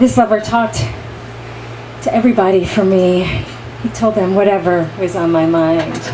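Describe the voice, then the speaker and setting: At a moderate pace and medium pitch, a woman speaks with ordinary pitch variation and long, frequent pauses against noticeable background noise. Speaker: actress. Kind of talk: dramatic monologue reading. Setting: live reading in a bar.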